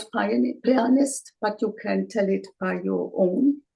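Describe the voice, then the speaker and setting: A woman with a German accent speaks at a very slow pace. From Germany, Bavaria. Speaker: interviewer. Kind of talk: interview. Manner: halting.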